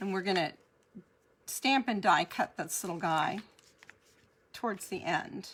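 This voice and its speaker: With long, frequent pauses, a woman of medium pitch talks at a fairly slow pace with ordinary pitch variation. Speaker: card making demonstrator. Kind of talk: live crafting tutorial.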